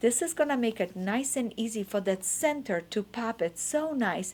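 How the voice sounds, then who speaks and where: Lively intonation marks the speech of a woman with a non-native accent. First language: not English. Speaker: quilting teacher. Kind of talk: tutorial.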